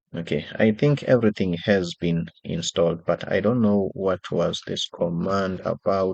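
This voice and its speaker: The voice, with a South African accent, moves at a fairly slow pace. The sound is dry and close with no echo, against a quiet background. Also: man. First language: isiXhosa. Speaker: software developer and designer. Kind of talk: tutorial.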